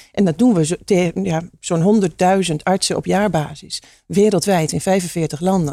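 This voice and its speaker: A woman speaks fairly slowly with a fairly low pitch. Her tone is dark and mellow, with ordinary pitch variation. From eastern Netherlands, Hengelo (Twente). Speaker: entrepreneur, pharmacist. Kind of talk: interview.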